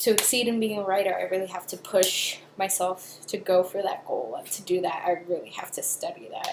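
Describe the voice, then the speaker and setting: A woman speaks with a Spanish accent. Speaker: film student. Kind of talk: video blog. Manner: casual, hesitant with fillers.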